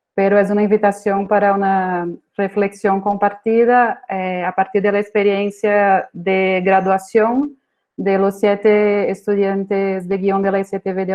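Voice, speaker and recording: Slowish and flat, a woman's medium-pitched voice runs in a monotone. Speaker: screenwriting professor. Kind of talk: conference talk. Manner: hesitant, many fillers.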